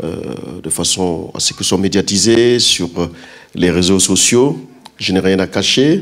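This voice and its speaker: A man's very deep, low voice with ordinary pitch variation, a fairly slow pace and long, frequent pauses. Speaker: pastor. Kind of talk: sermon. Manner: loud.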